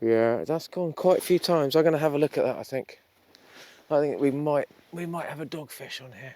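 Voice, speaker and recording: A man's plain, everyday voice, fairly high in pitch, at a fairly quick pace with fairly even intonation and big swings in loudness. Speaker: fishing vlogger. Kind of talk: casual vlog narration. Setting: outdoors on the shore at night.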